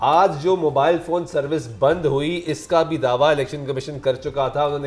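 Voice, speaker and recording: This man has a plain, everyday voice, pitched fairly high. He speaks at a moderate pace with fairly even intonation. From Pakistan. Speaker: political scientist; guest. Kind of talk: panel discussion. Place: studio. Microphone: lapel.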